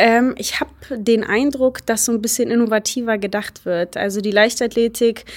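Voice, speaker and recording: A woman with a normal speaking voice at a fairly high pitch, with fairly even intonation and a moderate pace. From Germany, Baunatal, Hesse. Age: 20s. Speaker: hurdler and student. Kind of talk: interview.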